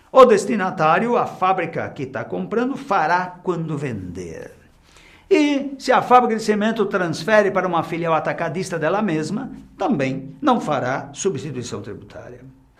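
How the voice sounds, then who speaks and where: Amid audible room echo, a man with a high pitch talks at a moderate pace, his voice making very wide pitch swings. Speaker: tax instructor. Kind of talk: lecture.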